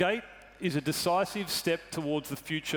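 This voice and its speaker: A man with a slight Australian accent and ordinary pitch variation. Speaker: truck company executive. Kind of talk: corporate presentation. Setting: stage with audience.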